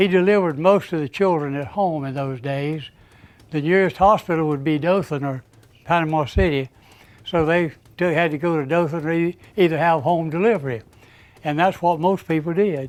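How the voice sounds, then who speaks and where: Speaking in a Southern US accent, a man with a fairly high pitch keeps a moderate pace and ordinary pitch variation. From US South, Florida Panhandle. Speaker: local elder. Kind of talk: oral history interview.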